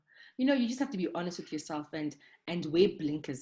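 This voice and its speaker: A woman talks at a very fast pace. Her voice is somewhat breathy and fairly low in pitch. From Zimbabwe, Harare. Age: 40s. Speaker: doctor. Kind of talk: interview.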